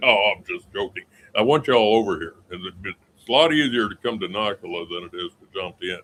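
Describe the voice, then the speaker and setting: Here a man talks at a fairly quick pace and fairly low pitch. His intonation is lively, with big swings in loudness. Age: 60s. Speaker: retired expat vlogger. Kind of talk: casual live stream chat. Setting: outdoors on a balcony. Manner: halting, many fillers.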